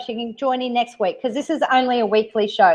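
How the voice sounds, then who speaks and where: A woman with an Australian accent, a fairly high pitch and a very fast pace. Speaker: live stream host. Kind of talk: casual chat.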